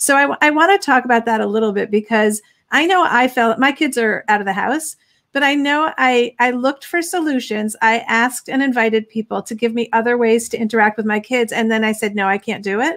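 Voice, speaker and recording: A woman talks at a fairly quick pace with a fairly high pitch and ordinary pitch variation. The background is quiet. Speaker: parenting magazine host. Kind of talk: interview. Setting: live stream. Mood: earnest, reflective. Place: home room.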